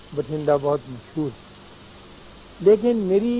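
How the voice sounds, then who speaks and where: A man with lively intonation. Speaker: writer, philosopher and spiritual teacher. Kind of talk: television talk / conversational lecture. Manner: calm, reflective.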